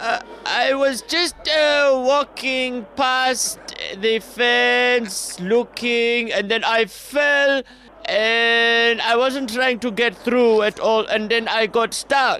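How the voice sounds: A man puts on a character voice, extremely high-pitched, with a bright, sharp tone and a Zimbabwean accent. He talks at a slow pace with few pauses. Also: ordinary pitch variation. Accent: put-on Zimbabwean.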